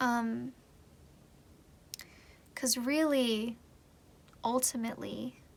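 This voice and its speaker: A woman talks at a very slow pace. Her pauses are long and frequent. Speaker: tarot reader. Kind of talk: casual talk to camera, tarot reading. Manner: casual, conversational.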